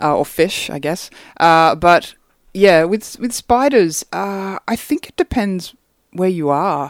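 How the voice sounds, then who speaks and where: With an Australian accent, a woman speaks very slowly at a fairly low pitch, her intonation lively. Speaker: singer-songwriter. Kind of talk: casual chat.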